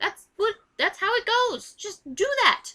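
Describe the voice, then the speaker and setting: A woman projects a raised voice with a bright, sharp tone. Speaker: vlogger. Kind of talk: casual vlog rant. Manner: loud; animated.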